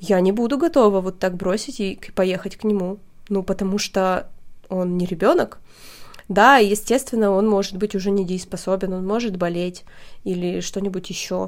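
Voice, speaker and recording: In a normal speaking voice, a woman talks at a moderate pace, her intonation fairly even. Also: medium pitch for a woman. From Russia, Perm region small town. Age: 30s. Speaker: podcast host. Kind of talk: casual chat.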